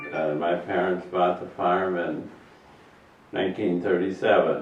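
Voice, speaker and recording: A man's very deep, low voice at a fairly slow pace, fairly even in intonation, with audible room echo and music in the background. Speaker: retired teacher and farmer. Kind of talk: interview.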